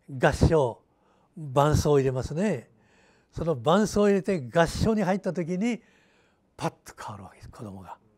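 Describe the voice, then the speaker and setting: Pitch swings very widely, broken by long, frequent pauses, over a quiet background. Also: man, fairly high pitch for a man, moderate pace, big swings in loudness. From Japan, Hiroshima region (Fukuyama); Japan. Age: 90s. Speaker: retired teacher, peace educator, atomic bomb survivor. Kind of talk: interview. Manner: halting. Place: office. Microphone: lapel.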